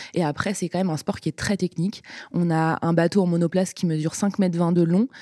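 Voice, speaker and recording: The voice has a dark, mellow tone and fairly even intonation, moving at a fairly quick pace on a very clean recording with a silent background. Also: woman. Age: 20s. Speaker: sprint kayak athlete. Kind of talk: casual interview.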